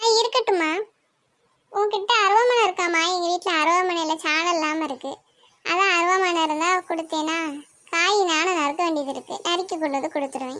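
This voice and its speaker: A woman's cartoonish character voice at an extremely high pitch and a moderate pace. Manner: chatty, complaining.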